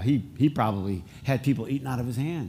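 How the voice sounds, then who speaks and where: A man with an American accent speaks in an animated, somewhat breathy tone. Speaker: pastor. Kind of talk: sermon. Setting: church with congregation. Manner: conversational, animated.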